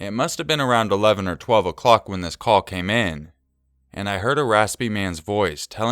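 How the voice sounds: The background is silent. A natural reading voice is heard.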